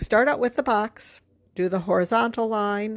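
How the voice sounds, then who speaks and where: The background is silent and the recording very clean. A woman speaks at a moderate speed. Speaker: art teacher. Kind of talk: tutorial. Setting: livestream video. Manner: casual, halting with fillers.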